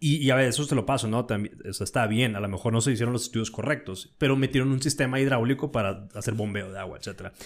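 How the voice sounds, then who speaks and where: At a very fast pace with hardly any pauses, a man talks in a medium pitch with ordinary pitch variation. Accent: Mexican. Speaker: podcast host. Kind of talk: casual chat.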